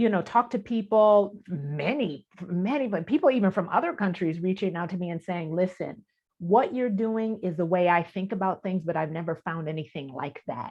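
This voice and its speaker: A woman's unremarkable speaking voice, medium in pitch, lively in intonation, at a moderate pace with hardly any pauses. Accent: American. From Detroit, US Midwest. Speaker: spiritual teacher and author. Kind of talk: interview.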